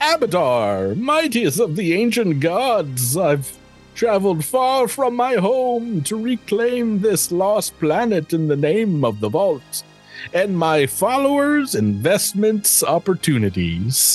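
Someone performs a put-on character voice at a fairly slow pace. Faint music plays in the background. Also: man, high pitch for a man. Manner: grandiose, proclaiming.

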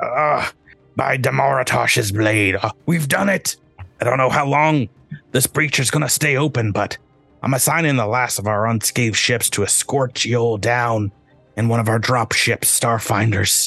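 A put-on character voice speaks at a moderate pace. Faint music plays in the background. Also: man, medium pitch for a man. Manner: gruff, triumphant.

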